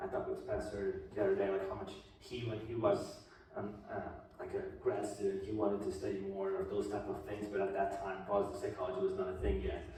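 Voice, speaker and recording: Fairly quick and in a Brazilian accent, a man talks amid noticeable background noise and audible room echo. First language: Portuguese. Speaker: guest speaker on positive psychology. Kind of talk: talk to a class. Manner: hesitant, many fillers.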